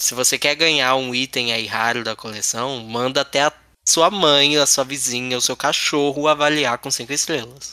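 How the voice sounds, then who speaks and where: With a bright, sharp tone, a man talks at a moderate pace and medium pitch, his intonation fairly even. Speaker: podcast host. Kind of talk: casual chat.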